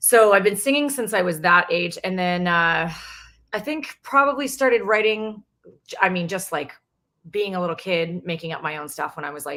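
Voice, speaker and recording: At a moderate pace, a woman with an American accent talks at a medium pitch, her loudness swinging widely. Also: lively intonation. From Canada, British Columbia. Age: 40s. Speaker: singer and songwriter. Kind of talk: casual interview chat.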